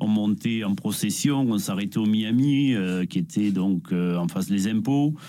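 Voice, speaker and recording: At a fairly slow pace, a man speaks with a dark, mellow tone, fairly low pitch and lively intonation. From Nîmes, southern France. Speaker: shirt collector. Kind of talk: interview.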